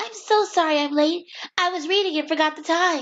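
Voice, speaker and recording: A squeaky, put-on character voice at a fairly quick pace. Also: female-sounding voice. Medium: solo performance. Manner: sweet, gushing.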